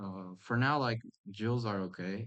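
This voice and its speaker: Intonation here is fairly even. A non-native accent comes through. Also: man. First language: not English. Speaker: gaming youtuber. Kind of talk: gameplay commentary. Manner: halting, many fillers and restarts; casual.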